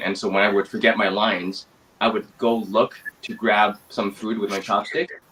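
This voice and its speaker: A man with a Mandarin accent talks at a fairly quick pace in a flat monotone. Noticeable background noise is present. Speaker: actor. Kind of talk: interview. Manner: hesitant, many fillers.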